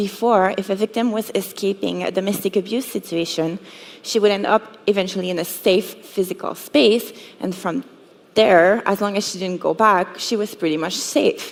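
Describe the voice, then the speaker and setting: A woman with a French accent speaks at a moderate pace, her medium pitch held in fairly even intonation. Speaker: cybersecurity educator. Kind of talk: conference talk.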